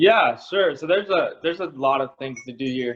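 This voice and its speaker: A man speaks in a strong Southern US accent. His pace is moderate. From US South (South Carolina). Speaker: college student. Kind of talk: casual chat. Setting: video call. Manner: hesitant, many fillers.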